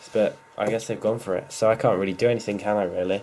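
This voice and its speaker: Noticeable background noise sits behind a man talking. He speaks at a fairly quick pace and a medium pitch. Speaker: gaming YouTuber. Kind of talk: gameplay commentary. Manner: fast; casual, hesitant fillers.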